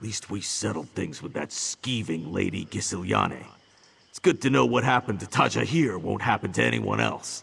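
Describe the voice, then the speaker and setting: In a put-on character voice, a man talks at a moderate pace with a very deep, low pitch. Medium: video game. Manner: gruff, wry.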